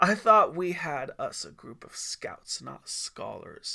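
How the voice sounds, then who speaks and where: In a put-on character voice, a man sounds raspy and raised, projecting outward. His loudness swings widely at a fairly slow pace. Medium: read story. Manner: folksy, good-humored.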